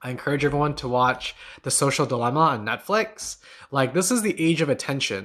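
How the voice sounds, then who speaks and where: At a fairly quick pace, a man speaks in a plain, everyday voice, fairly high in pitch with ordinary pitch variation. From Newfoundland, Canada (St. John's). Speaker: meditation teacher and podcast host. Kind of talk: live stream chat and Q&A. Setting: live stream from home on laptop. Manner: casual, filler-heavy with frequent repetitions.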